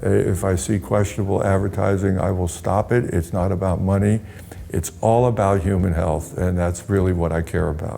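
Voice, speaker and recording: A man's very deep, low voice at a moderate pace, fairly even in intonation and very even in loudness, with noticeable background noise. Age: 60s. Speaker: pharmaceutical industry veteran, health website owner. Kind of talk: interview. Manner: halting.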